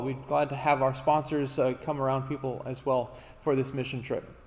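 A man is talking here. His delivery moves at a fairly quick pace. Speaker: pastor. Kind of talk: church announcements. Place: church.

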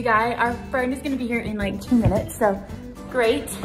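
A woman talks at a high pitch and a fairly quick pace. Clear music plays in the background. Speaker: vlogger. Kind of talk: casual vlog chat. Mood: rushed, stressed but excited. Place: home room. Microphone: phone near.

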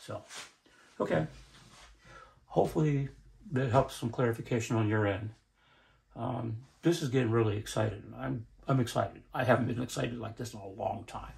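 A man speaks at a fairly quick pace and medium pitch, with vocal fry and ordinary pitch variation. His loudness swings widely, and he takes long, frequent pauses. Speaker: inventor building a magnet motor prototype. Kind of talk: tutorial. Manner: halting. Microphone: camera far.

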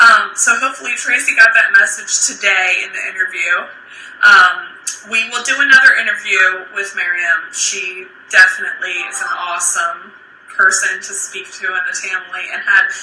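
Against music in the background and audible room echo, a woman speaks with big swings in loudness. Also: moderate pace. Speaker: fitness live streamer. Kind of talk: casual live stream chat. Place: home room. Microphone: phone near.

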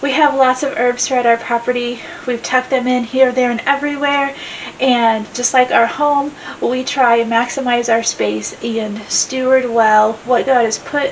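A woman speaks at a moderate pace in a high, flat, monotone voice over light background noise. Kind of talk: casual vlog chat. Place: home room.

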